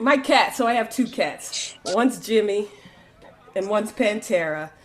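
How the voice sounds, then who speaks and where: A woman speaks in an animated tone at a fairly slow pace. Her pitch variation is ordinary, and background noise is noticeable. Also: fairly high pitch for a woman. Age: middle-aged. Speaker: comedian. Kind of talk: stand-up.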